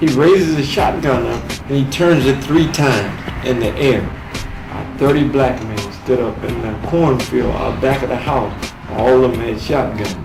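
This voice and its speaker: A man of medium pitch talks at a moderate pace with ordinary pitch variation, with noticeable background noise and audible room echo. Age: 70s. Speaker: martial arts grandmaster. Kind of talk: interview storytelling. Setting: at his home.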